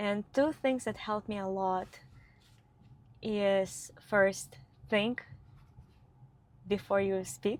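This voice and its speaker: Speaking very slowly with long, frequent pauses, a woman holds a medium pitch with ordinary pitch variation. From Ukraine. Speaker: company founder, vlogger. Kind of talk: casual chat.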